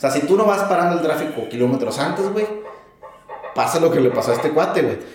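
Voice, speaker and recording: Over noticeable background noise and audible room echo, a man with a Mexican accent talks at a fairly quick pace. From Mexico. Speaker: truck driver. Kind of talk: casual chat.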